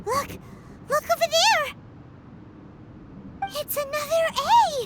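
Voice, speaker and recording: A female-sounding voice uses a put-on character voice at an extremely high pitch. The pace is fairly slow, with light background noise. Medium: fan dub. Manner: chatty, hesitant, refers to self in third person.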